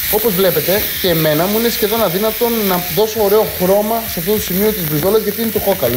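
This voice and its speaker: A man talking at a fairly quick pace, with noticeable background noise. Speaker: TV cooking show host. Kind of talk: cooking tutorial. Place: kitchen. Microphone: lapel.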